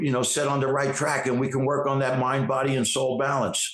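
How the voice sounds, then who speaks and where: A man speaks with a New York accent at a fairly quick pace. His medium-pitched voice has monotone, flat intonation. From New York City, Queens. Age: 60s. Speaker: actor and fitness trainer. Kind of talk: interview.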